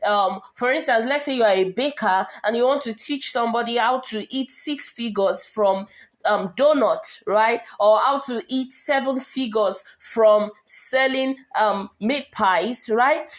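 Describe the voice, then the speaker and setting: Here a woman talks at a fairly slow pace. Her voice is high, with ordinary pitch variation. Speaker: online course coach. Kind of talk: lecture. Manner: animated, passionate; pitch rises when excited.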